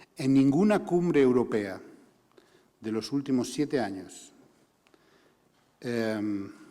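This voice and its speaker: Speaking very slowly with long, frequent pauses, a man uses lively intonation at a medium pitch, his voice carrying audible room echo. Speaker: human rights organization director. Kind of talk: conference talk.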